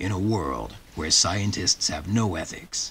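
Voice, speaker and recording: A man in a put-on character voice speaks at a fairly slow pace, his very deep, low pitch coming out gravelly. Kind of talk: dramatic trailer narration.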